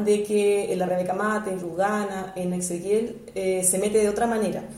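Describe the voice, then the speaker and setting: Speaking at a moderate pace and a medium pitch, a woman with a Chilean accent is heard with noticeable background noise and audible room echo. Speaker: educational psychologist. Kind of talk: interview. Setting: at her home.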